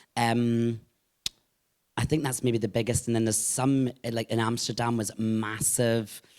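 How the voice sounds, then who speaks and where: Speaking with a Scottish accent, a man keeps a monotone, flat intonation and very even loudness. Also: medium pitch for a man, moderate pace. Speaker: drag performer and singer. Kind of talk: live podcast interview. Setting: live podcast recording at a venue with audience.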